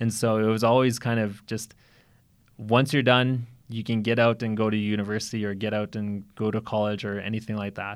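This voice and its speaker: The recording is very clean, with a silent background. A man talks at a fairly quick pace, his fairly low voice monotone and flat. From Alberta, Cree reserve south of Edmonton. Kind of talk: interview conversation. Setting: studio. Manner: halting, many repetitions and fillers.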